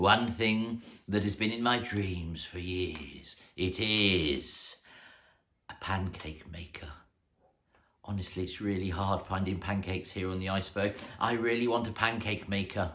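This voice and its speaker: Putting on a character voice, a man speaks at a fairly low pitch. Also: moderate pace, very clean recording, silent background. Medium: read story.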